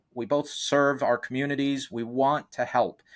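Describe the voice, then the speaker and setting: At a moderate pace, a man speaks at a fairly high pitch. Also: very clean recording, silent background. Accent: Boston. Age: 50s. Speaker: real estate investor and coach. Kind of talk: interview. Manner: halting, many fillers.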